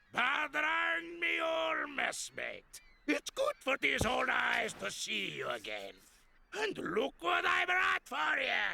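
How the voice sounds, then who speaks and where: Shouting in a cartoonish character voice, the speaker drags the words out at a very slow pace. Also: man, extremely high pitch for a man. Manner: salty pirate slang, hearty.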